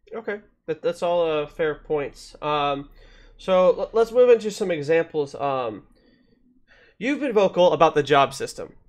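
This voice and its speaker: A man with a high pitch talks at a fairly slow pace with lively intonation and long, frequent pauses against a quiet background. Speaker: gaming podcast host. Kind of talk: casual podcast conversation. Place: home room.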